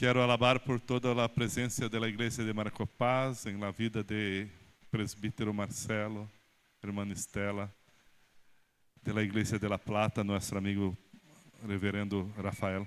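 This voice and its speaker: A man with a Brazilian accent speaks at a fairly low pitch and a fairly slow pace. His intonation is monotone and flat, with long, frequent pauses. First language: Portuguese (speaking Spanish). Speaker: pastor. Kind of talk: speech at church installation ceremony. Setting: church. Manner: halting.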